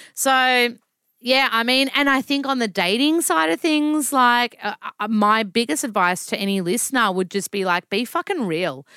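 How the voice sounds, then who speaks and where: Bright and sharp in tone, a woman's high voice with a strong Australian accent makes very wide pitch swings on a very clean recording with a silent background and a dry, close sound with no echo. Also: moderate pace. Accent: broad Australian. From Melbourne, Australia. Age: 30s. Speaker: nutritionist and author. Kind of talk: casual chat. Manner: animated, casual.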